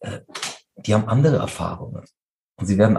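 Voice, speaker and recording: A man with a fairly low, somewhat breathy voice and a dark, mellow tone talks at a fairly quick pace with ordinary pitch variation. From Munich, Bavaria (Turkish family). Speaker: interfaith community organizer. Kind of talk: interview.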